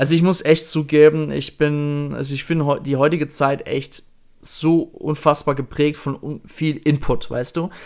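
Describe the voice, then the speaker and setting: Speaking at a fairly slow pace, a man uses a fairly high pitch and monotone, flat intonation. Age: 30s. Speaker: podcast host. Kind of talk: casual chat.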